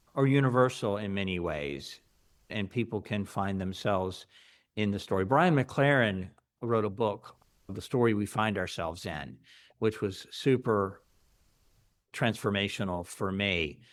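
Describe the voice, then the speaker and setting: A fairly low-pitched man with an American accent, ordinary pitch variation, a fairly slow pace and long, frequent pauses, on a very clean recording with a silent background. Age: 60s. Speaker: pastor and podcast host. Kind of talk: interview. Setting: recorded interview, podcast.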